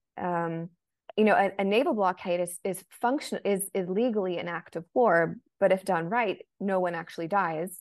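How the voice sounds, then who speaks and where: A woman with an American accent and an unremarkable speaking voice talks at a moderate pace, her medium pitch showing ordinary variation. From United States. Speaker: journalist and author. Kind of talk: interview.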